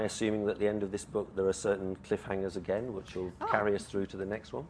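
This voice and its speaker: A man at a very fast pace and fairly low pitch, over noticeable background noise. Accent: English. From England. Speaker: event chair. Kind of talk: live interview on stage. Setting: stage with audience.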